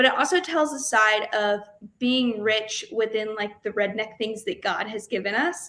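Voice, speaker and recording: Speaking in a Southern accent, a woman has a fairly high pitch. Her pace is moderate, with ordinary pitch variation. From US South, Jasper, Georgia. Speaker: country singer-songwriter. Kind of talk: podcast interview.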